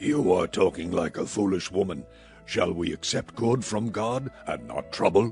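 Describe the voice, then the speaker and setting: A man puts on a character voice, pitched fairly low, with lively intonation at a moderate pace. Clear music plays in the background. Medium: audio drama. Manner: solemn, poetic.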